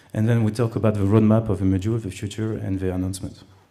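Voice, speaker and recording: A man with a French accent speaks in a flat monotone at a fairly low pitch. His tone is dark and mellow, and the room echo is audible. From France. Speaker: conference speaker, web company CEO. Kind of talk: conference talk. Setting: stage with audience. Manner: hesitant, many fillers.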